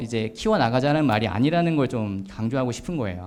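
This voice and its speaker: Amid audible room echo, a man talks at a fairly quick pace with lively intonation. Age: 40s. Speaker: author giving a talk. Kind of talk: lecture. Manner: hesitant with many fillers.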